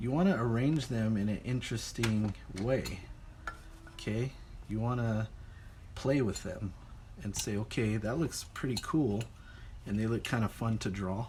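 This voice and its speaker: A man's medium-pitched voice with ordinary pitch variation, a moderate pace, long, frequent pauses, and audible room echo. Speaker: art teacher. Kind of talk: lecture.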